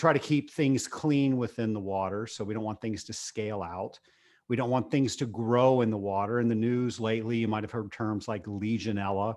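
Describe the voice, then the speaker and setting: A man with an American accent and an unremarkable speaking voice talks at a fairly quick pace, his pitch medium and his intonation fairly even, against a quiet background. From Virginia, Richmond. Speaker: business owner and podcast host. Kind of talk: interview.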